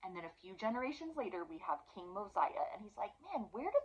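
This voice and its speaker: The speech moves at a fairly quick pace with very wide pitch swings. Noticeable background noise runs underneath. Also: woman. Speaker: religious study teacher. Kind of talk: scripture study lesson. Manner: fast; animated.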